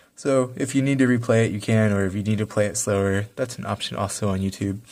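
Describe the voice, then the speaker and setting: A man talks at a very fast pace and fairly low pitch on a very clean recording with a silent background. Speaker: math teacher. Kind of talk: tutorial.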